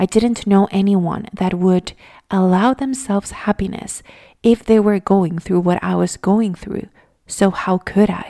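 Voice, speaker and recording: At a fairly slow pace and with fairly even intonation, the voice has a calm, dark, mellow tone and a Spanish accent, in a very clean recording with a silent background and a dry, close sound with no echo. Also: woman, medium pitch for a woman. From Venezuela. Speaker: mindfulness podcaster. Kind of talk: reflective monologue.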